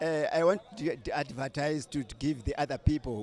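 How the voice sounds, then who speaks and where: Over background music, a man speaks fairly slowly. His voice sits fairly high and varies in pitch in an ordinary way. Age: 70s. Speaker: marathon runner. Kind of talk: interview. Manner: halting.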